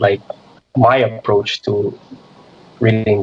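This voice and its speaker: A man speaks with a non-native accent. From Micronesia (Chuuk). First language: not English. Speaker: middle school math teacher. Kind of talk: radio interview. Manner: halting, many repeats.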